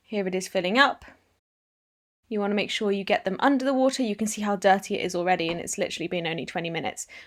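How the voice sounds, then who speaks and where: Speaking very fast with a British accent, a woman swings her pitch very widely on a very clean recording with a silent background. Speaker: equestrian vlogger. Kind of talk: casual vlog; tutorial narration. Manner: soft-spoken.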